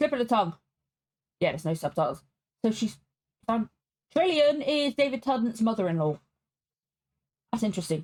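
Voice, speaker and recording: Her pitch fairly high and swinging very widely, a somewhat breathy woman talks at a fairly quick pace with long, frequent pauses, in a dry, close sound with no echo. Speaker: reaction video creator. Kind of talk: reaction commentary.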